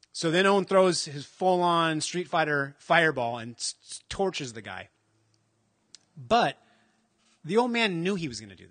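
Against a quiet background, a man with a high pitch talks at a moderate pace in an animated tone, with lively intonation, big swings in loudness and long, frequent pauses. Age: 40s. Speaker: comic book fan, shop owner. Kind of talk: casual chat. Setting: shop near highway.

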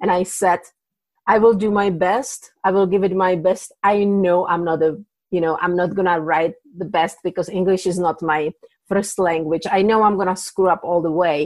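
A woman talks at a moderate pace with a Czech accent. Her pitch is medium and her intonation fairly even. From Czech Republic. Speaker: indie author. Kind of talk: casual interview. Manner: hesitant with fillers.

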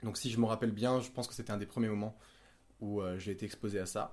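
The recording is very clean, with a silent background. A man speaks at a medium pitch with fairly even intonation. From Monaco, southern France. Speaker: podcast guest sharing OCD experience. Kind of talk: personal testimony in casual conversation.

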